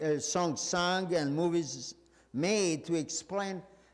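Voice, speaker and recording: Words come at a very slow pace with ordinary pitch variation and audible room echo. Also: man. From Serbia. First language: Serbian. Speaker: pastor. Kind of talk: sermon. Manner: halting, many fillers.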